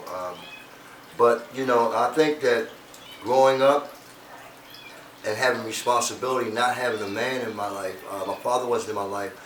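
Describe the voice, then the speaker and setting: A man at a moderate pace with fairly even intonation and long, frequent pauses, set against audible room echo and noticeable background noise. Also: medium pitch for a man. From US, Baltimore, Maryland. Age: 60s. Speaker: interview guest. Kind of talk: casual interview.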